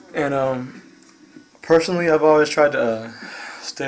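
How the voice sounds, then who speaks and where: The intonation stays fairly even while noticeable background noise runs behind the voice. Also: man. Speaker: video blogger. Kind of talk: casual opinion monologue. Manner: halting, many fillers and restarts.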